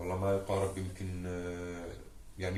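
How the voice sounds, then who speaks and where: A man's very deep, low-pitched voice amid noticeable background noise and audible room echo. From Gaza, Palestine. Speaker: war survivor. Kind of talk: testimony.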